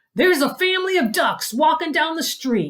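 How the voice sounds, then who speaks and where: This is a put-on character voice with lively intonation. The pace is moderate. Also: woman, extremely high pitch for a woman. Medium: read story. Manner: loud.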